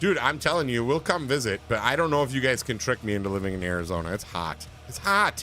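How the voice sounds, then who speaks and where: A man's very fast speech with a Wisconsin accent and very wide pitch swings. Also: medium pitch for a man. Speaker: gaming livestreamer. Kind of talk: casual chat. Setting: livestream. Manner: mumbling.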